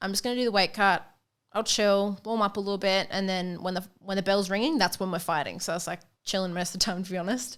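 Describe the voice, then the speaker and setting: Speaking at a very fast pace, a woman with an Australian accent keeps a medium pitch and fairly even intonation. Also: very clean recording, silent background. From Australia, Queensland, Sunshine Coast. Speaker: professional boxer. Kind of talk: casual chat.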